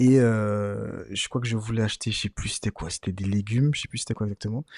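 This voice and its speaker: Fairly quick male speech, fairly low in pitch with fairly even intonation, over a quiet background. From Martinique. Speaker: podcast host. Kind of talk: casual chat. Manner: halting, many fillers.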